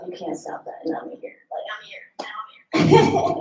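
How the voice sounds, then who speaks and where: A woman is speaking. The room echo is audible. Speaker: singer-songwriter performing live. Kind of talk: on-stage song introductions between performances. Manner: casual, hesitant with many fillers. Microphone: sound issues during the set.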